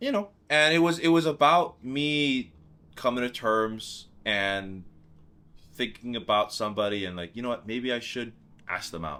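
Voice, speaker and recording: With a Hawaiian accent, a man speaks at a moderate pace in a medium pitch, his bright, sharp tone carrying lively intonation in a very clean recording with a silent background. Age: 20s. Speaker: singer-songwriter. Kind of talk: documentary interview.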